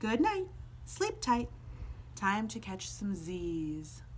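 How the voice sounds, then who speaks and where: A woman's put-on character voice at a very slow pace over clear background noise. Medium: read story. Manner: laid-back, groovy.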